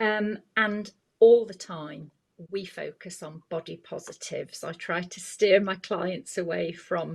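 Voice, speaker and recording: Somewhat breathy, a woman with a medium pitch speaks at a fairly slow pace with big swings in loudness, in a very clean recording with a silent background. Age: 60s. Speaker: image consultant. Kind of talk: podcast interview.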